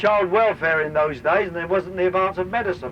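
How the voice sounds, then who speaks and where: A man talks at a fairly quick pace with a Cockney accent and a high pitch. Noticeable background noise sits behind him. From London, East End. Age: 60s. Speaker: tour guide and former dock union activist. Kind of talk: guided tour commentary. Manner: animated.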